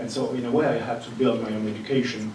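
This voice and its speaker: Someone with a French accent is heard amid noticeable background noise and audible room echo. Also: man. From France. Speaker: lecturer, audience member. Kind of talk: audience question.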